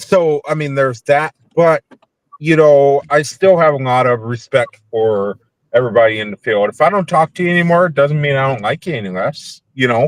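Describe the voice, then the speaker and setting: A man with a Minnesotan accent, fairly high pitch and lively intonation at a moderate pace, the sound dry and close with no echo. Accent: Minnesota. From US South, Nashville, Tennessee. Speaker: paranormal investigator. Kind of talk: casual chat. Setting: in a car, video call.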